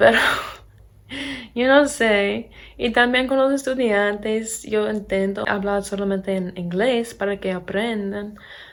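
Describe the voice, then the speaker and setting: In an American accent, a woman speaks at a very slow pace with ordinary pitch variation. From Pennsylvania, US. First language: English (speaking Spanish). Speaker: English teacher and vlogger. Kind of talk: casual vlog talk.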